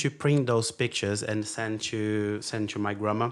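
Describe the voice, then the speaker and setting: A man with a Brazilian accent at a fairly quick pace. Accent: foreign accent, Brazilian. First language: Portuguese. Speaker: podcast guest, engineer. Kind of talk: casual chat. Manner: halting, many fillers.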